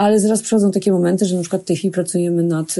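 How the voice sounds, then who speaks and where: A woman speaks with a dark, mellow tone, fairly low in pitch for a woman, with fairly even intonation. The background is quiet. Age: 50s. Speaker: chef and restaurant owner. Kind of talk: casual interview. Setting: outdoors in a forest.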